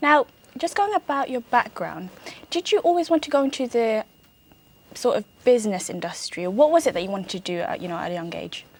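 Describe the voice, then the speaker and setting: With a British accent, a woman talks at a very fast pace and a high pitch. Her pitch swings very widely and her loudness rises and falls in big swings. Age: young. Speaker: show host. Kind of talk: interview.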